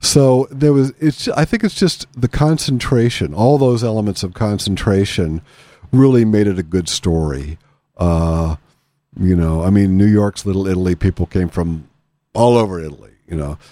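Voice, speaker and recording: A man speaks at a moderate pace in a fairly low pitch with an American accent and lively intonation. His tone is dark and mellow, and the recording is very clean with a silent background. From western Pennsylvania (Appalachia). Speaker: documentary filmmaker, former journalist. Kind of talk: radio interview. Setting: radio studio. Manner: halting.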